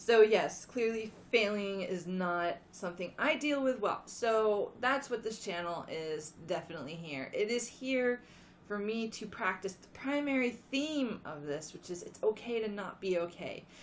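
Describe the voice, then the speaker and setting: A quiet woman talks at a fairly slow pace with lively intonation and hardly any pauses. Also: fairly high pitch for a woman. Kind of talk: casual talk to camera.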